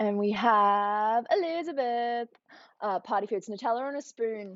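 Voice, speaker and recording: Speaking with an Australian accent, a woman has a fairly high pitch with ordinary variation. Her pace is fairly slow. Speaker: youtuber. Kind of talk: livestream chat. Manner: animated.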